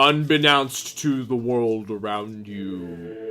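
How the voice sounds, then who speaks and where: A man performs a put-on character voice at a fairly slow pace. His intonation is lively. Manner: eerie, ominous.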